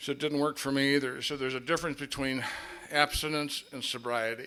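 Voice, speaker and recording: A man talking at a very fast pace with an American accent, noticeable background noise behind him. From Minnesota. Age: 60s. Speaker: AA speaker. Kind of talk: recovery testimony.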